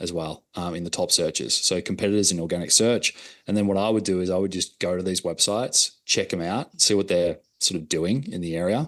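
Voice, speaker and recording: Against a quiet background, a man with an Australian accent talks fairly quickly in a very deep, low voice with ordinary pitch variation. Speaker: digital marketing consultant. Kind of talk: workshop presentation.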